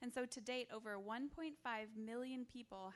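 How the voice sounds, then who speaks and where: A woman with an American accent speaks at a moderate pace in a fairly high pitch, in an ordinary speaking voice. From Wisconsin. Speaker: missionary and stay-at-home mom. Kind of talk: mission presentation and testimony to a church.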